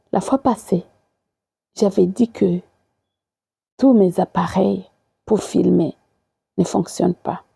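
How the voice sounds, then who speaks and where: Speaking very slowly with long, frequent pauses, a woman with a non-native accent is heard in a dry, close sound with no echo. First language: not French (speaking French). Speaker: evangelist. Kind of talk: sermon. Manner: halting.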